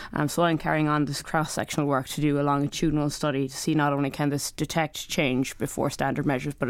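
The speaker has an Irish accent and a fairly quick pace. The intonation stays monotone and flat. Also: woman. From Ireland. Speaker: clinical research fellow.

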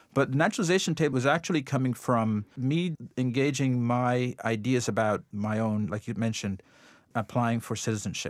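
A man talks at a moderate pace with ordinary pitch variation. He has a slight Jamaican accent. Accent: slight Jamaican lilt. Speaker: artist. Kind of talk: interview. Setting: remote studio.

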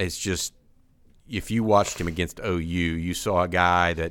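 A man with an American accent talks at a moderate pace with ordinary pitch variation on a very clean recording with a silent background. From Texas, Houston. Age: 50s. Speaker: sports podcast host, recruiting journalist. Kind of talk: casual sports chat.

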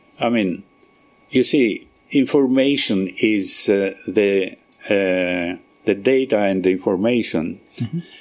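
This man talks at a fairly slow pace with a Greek accent. Long pauses come often between his words. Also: ordinary pitch variation. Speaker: research scientist. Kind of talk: radio interview. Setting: live broadcast at research centre. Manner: halting.

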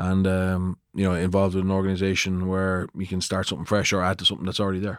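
With an Irish accent, a man talks very fast with hardly any pauses, his very deep, low voice flat and monotone on a very clean recording with a silent background. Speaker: former rugby player and coach. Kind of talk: casual chat. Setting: studio.

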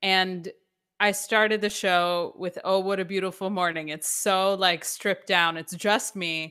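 On a very clean recording with a silent background, a woman speaks at a fairly slow pace in a bright, sharp tone with monotone, flat intonation. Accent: American. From US South, Atlanta (born New York). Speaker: stage actor. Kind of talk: interview.

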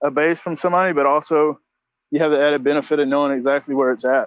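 Speaking very fast in a Southern US accent, a man uses a fairly high pitch and a monotone, flat intonation. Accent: Southern US (Georgia). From US South, Augusta, Georgia. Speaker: former credit card fraudster. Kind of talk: interview. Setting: phone call. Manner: halting.

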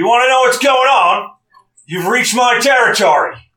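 A man puts on a character voice at an extremely high pitch. He projects it loudly at a moderate pace. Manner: menacing, bellowing.

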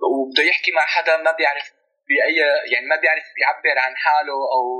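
A man with a plain, everyday voice speaks at a fairly quick pace in a fairly high pitch with fairly even intonation. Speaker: researcher and documentary filmmaker. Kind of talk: interview.

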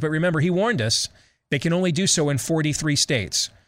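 A man with a Midwestern accent, fairly high pitch and a moderate pace. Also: very clean recording, silent background. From US Midwest. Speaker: talk radio host. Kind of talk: talk radio commentary.

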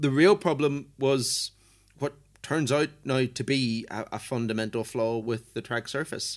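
In a very clean recording with a silent background, a man speaks fairly slowly in a normal speaking voice, medium in pitch with ordinary pitch variation. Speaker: motorsport journalist. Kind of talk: casual chat. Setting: airport hotel in Ireland.

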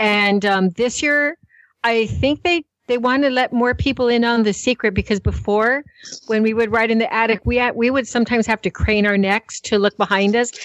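With a plain, everyday voice, a woman speaks at a moderate pace and fairly high pitch, with ordinary pitch variation and a dry, close sound with no echo. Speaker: co-host. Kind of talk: casual chat.

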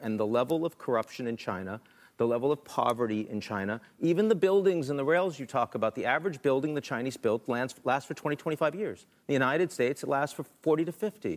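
A man with a plain, everyday voice, lively intonation, and a fairly quick pace. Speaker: political analyst. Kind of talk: panel discussion. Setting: stage with audience.

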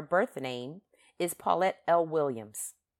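This woman speaks with an American accent. Her pitch variation is ordinary. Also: very clean recording, silent background. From Philadelphia, US East Coast. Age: 50s. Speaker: podcast host. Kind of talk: monologue podcast commentary. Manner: animated, conversational with frequent fillers.

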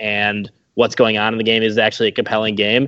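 A man with a normal speaking voice talks at a fairly quick pace and a medium pitch. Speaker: former blogger, guest. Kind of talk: casual chat.

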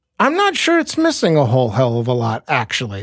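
A man's plain, everyday voice with ordinary pitch variation at a fairly quick pace. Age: 40s. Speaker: podcast co-host. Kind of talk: casual chat.

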